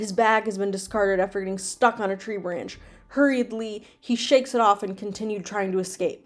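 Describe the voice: This is plain reading aloud. The text is read as written.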